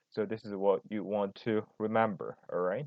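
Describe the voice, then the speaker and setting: A man at a fairly slow pace, fairly low in pitch, with ordinary pitch variation. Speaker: math tutor. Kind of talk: tutorial. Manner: halting, self-correcting.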